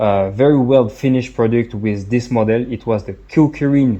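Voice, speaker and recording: A man speaks at a fairly slow pace with a French accent. His tone is dark and mellow. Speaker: product reviewer. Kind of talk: product review. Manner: halting, many fillers and repetitions.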